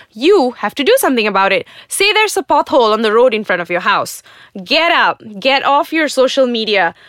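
In a Malaysian accent, a woman talks at a moderate pace with an animated tone and very wide pitch swings, in a very clean, dry, close recording with a silent background and no echo. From Malaysia, Johor. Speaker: podcast host, writer and video producer. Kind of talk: opinion monologue.

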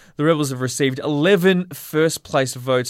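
A man speaks at a fairly quick pace in a normal speaking voice with ordinary pitch variation. The recording is very clean and the background silent. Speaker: sports radio host. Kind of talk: casual sports chat.

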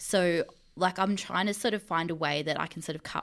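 On a very clean recording with a silent background, a woman with an Australian accent speaks with fairly even intonation. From Mildura, rural Victoria, Australia. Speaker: sports fandom researcher and editor. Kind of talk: casual chat.

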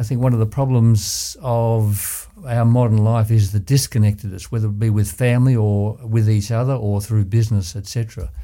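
A man with an Australian accent speaks in a dark, mellow tone. His moderate pace has hardly any pauses, and his intonation stays fairly even. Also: medium pitch for a man. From Australia, Ballarat, Victoria. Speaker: surgeon and former community board chair. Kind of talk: interview. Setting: studio.

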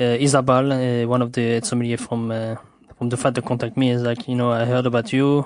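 A man talks very fast at a medium pitch, his intonation flat and monotone. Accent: French. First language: French. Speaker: sommelier. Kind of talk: interview. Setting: host's home. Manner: halting, many fillers.

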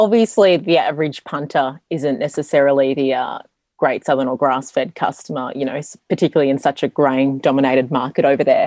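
Recorded dry and close with no echo, a woman with an Australian accent speaks in a very deep, low, dark and mellow voice with ordinary pitch variation. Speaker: podcast host. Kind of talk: interview.

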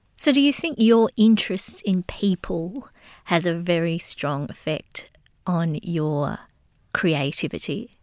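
In an Australian accent, a woman with a fairly low pitch speaks at a very slow pace with lively intonation, on a very clean recording with a silent background and a dry, close sound with no echo. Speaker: interviewer. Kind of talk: interview.

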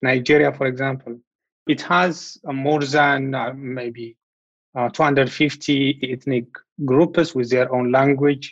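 With an Ethiopian accent, a man speaks at a very slow pace with fairly even intonation. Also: medium pitch for a man. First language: Amharic. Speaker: law researcher. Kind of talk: interview.

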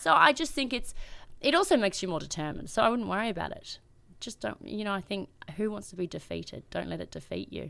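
On a very clean recording with a silent background, a woman speaks at a very fast pace with big swings in loudness. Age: 30s. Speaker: PR agency founder and businesswoman. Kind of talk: interview.

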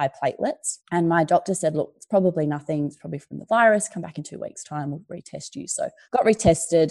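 A woman's fairly low, dark and mellow voice with an Australian accent, ordinary pitch variation, and a quiet background. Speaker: journalist and entrepreneur. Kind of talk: casual interview.

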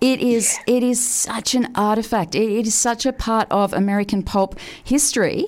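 A woman talks at a moderate pace with a fairly high pitch. Her intonation stays fairly even and her loudness very even. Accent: Australian. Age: 40s. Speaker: radio host. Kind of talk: casual chat.

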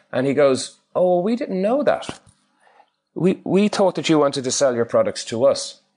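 Against a quiet background, a man with a high pitch talks at a moderate pace, his pitch swinging very widely. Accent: Irish. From Ireland. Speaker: referral marketing trainer. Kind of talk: interview. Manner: halting, many fillers.

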